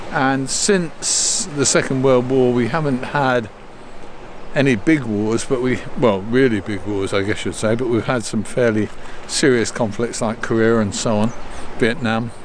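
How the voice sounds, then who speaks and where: Over noticeable background noise, a man with a British accent speaks at a fairly slow pace with ordinary pitch variation. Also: medium pitch for a man. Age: 70s. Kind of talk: casual talk to camera. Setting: outdoors.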